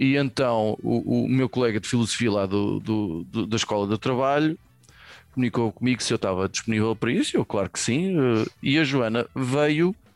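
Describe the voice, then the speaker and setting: Over music in the background, a man speaks at a moderate pace and medium pitch with ordinary pitch variation, in a dry, close sound with no echo. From Portugal, Venda Nova (Lisbon area). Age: 40s. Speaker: podcast co-host. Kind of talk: casual chat. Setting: video call.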